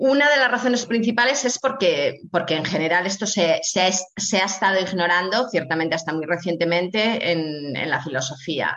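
A woman with a medium pitch talks at a moderate pace with lively intonation. She leaves hardly any pauses, and there is noticeable background noise. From Spain, Asturias. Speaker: bioethics professor. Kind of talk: interview. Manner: halting with frequent repetitions.

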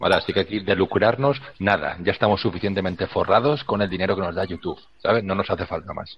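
Here a man talks at a very fast pace, somewhat breathy. His pitch is fairly low, with ordinary variation. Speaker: podcast co-host. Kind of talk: casual chat.

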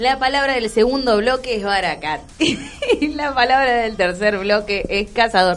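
Over noticeable background noise, a woman with a fairly high pitch speaks at a fairly slow pace with hardly any pauses. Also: ordinary pitch variation. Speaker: radio host. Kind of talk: casual chat.

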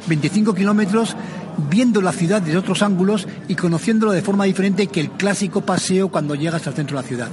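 A high-pitched man at a fairly quick pace, with music in the background. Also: ordinary pitch variation. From Basque Country, San Sebastián. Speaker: cycling club leader. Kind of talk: interview.

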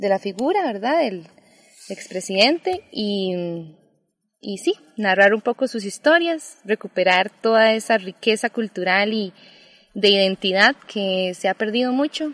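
With music behind her, a woman talks at a medium pitch. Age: 20s. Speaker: sociologist. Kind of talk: casual interview. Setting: outdoors in a park.

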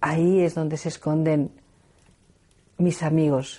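The background is quiet as a woman speaks fairly slowly in a fairly low pitch. Her tone is dark and mellow, her intonation monotone and flat. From Spain, León. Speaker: researcher and speaker on nature spirits. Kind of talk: reflective talk.

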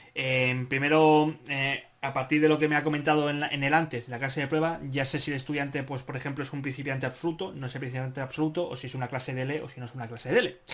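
Speaking very fast with hardly any pauses, a man uses a fairly high pitch. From Spain, Barcelona. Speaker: podcast host, Spanish teacher. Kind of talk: moderated group discussion. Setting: video conference. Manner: animated.

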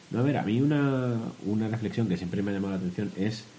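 A man's dark, mellow tone moves fairly quickly, its pitch varying in an ordinary way. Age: 20s-30s. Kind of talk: casual chat.

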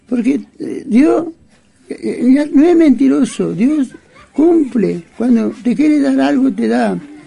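With long, frequent pauses, a man speaks at a very slow pace against noticeable background noise. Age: 80s+. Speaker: Mapuche elder. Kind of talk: interview. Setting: at his home. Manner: halting.

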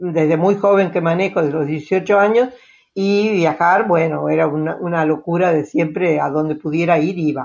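A woman speaks at a moderate pace with a fairly low pitch. Her pitch varies in an ordinary way. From Argentina. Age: 80s+. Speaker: retiree traveling by motorhome. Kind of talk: interview.

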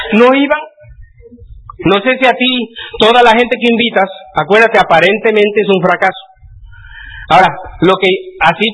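A man talks fairly fast with typical pitch movement. Noticeable noise runs behind him. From Mexico, Puebla. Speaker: motivational speaker. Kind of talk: seminar talk.

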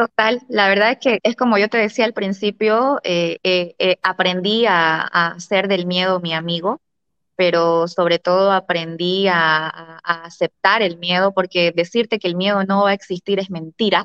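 A woman talks at a fairly slow pace and medium pitch, her loudness very even. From Bolivia. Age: 30s. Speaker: real estate broker. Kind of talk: interview. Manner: animated.

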